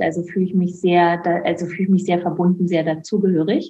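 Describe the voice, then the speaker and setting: Somewhat breathy, a woman's voice holds a medium pitch. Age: 50s. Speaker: author and former midwife. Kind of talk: interview.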